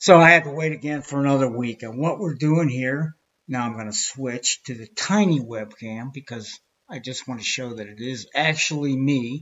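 A man with an American accent speaks at a moderate pace in a medium pitch, with ordinary pitch variation and big swings in loudness. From Pittsburgh, USA. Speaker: video creator. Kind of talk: casual presentation practice. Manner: hesitant, many fillers. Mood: wry, mildly frustrated. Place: home room. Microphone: webcam.

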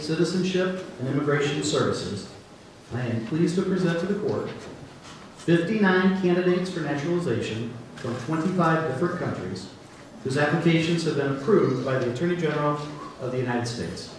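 Strong room echo surrounds a man whose fairly high pitch and lively intonation come through over light background noise. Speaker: federal judge. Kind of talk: ceremonial speech. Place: hall.

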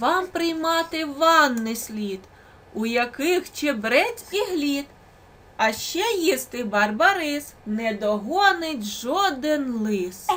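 A woman performs a put-on character voice. She speaks at a high pitch and a very slow pace. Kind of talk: bedtime story. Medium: read story.

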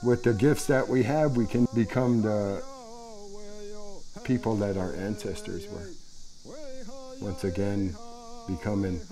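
With faint music in the background, a man talks at a fairly slow pace and fairly low pitch, showing ordinary pitch variation. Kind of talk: interview answer. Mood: calm, hopeful. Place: workshop. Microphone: lapel.

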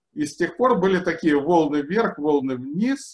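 The speech moves at a moderate pace with lively intonation. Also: man. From Ukraine. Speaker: engineering researcher and lecturer. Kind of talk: lecture. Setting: video call. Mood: cheerful, laughing often. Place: home room. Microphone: webcam.

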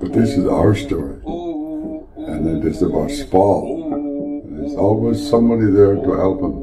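A man talks at a moderate pace while noticeable background noise plays behind him. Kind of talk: elder storytelling, a traditional animal legend retold with dramatic sound effects. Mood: calm, gentle. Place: office. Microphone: camera far.

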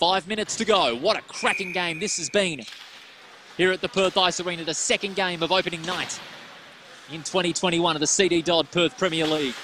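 A man with an Australian accent speaks at a fairly quick pace and high pitch with ordinary pitch variation, the sound dry with no echo despite noticeable background noise. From Western Australia. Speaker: ice hockey commentator. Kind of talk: live play-by-play ice hockey commentary, rapid puck-tracking calls. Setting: commentary box at ice rink, live stream. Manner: quick clipped name-calling of players as the puck moves; excited rhetorical questions mid-play, self-correcting in the rush. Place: stadium.

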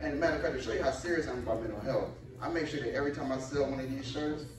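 The voice rushes at a very fast pace amid audible room echo and loud background noise. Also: man. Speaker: stand-up comedian. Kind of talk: stand-up comedy routine. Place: stage.

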